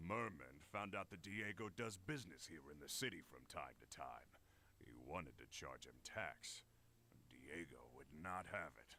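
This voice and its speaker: A gruff, very deep put-on character voice from a man, swinging widely in pitch at a moderate pace amid clear background noise. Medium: video game. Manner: gruff, laughing, colloquial.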